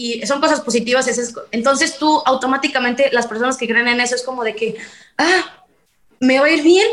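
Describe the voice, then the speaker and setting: This is a woman talking. She uses ordinary pitch variation. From Mexico, Veracruz. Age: 20s. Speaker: singer. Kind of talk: casual chat.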